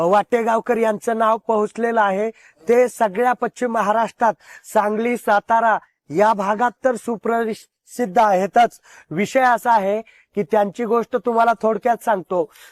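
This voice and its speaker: In a dry, close recording with no echo, a man speaks at a high pitch. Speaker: interviewer at pilgrimage. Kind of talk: interview. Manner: animated.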